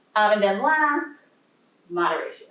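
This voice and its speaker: A woman speaks with very wide pitch swings. Audible room echo surrounds her voice. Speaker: law professor. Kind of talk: lecture; audience Q&A. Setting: library talk with audience.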